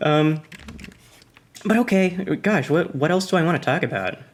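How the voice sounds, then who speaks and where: The speaker has an American accent and keeps a moderate pace. Noticeable background noise runs throughout. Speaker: YouTuber. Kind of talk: casual monologue. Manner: halting.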